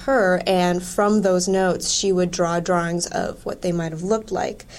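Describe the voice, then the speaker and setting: An ordinary speaking voice with an American accent, fairly even intonation, a moderate pace and hardly any pauses. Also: woman. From Wisconsin. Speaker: museum curator. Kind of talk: casual chat.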